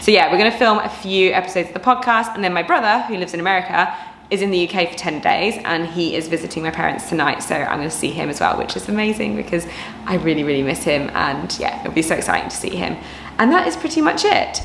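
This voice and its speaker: Audible room echo and noticeable background noise surround a woman with an English accent. She talks at a very fast pace, medium in pitch, with lively intonation. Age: 30s. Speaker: personal trainer and vlogger. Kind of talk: casual vlog talk to camera. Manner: animated.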